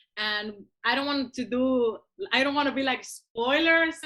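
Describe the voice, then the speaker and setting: Speaking at a moderate pace with ordinary pitch variation, a woman with a Cuban accent has a high pitch. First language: Spanish. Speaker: musician. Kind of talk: interview. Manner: halting.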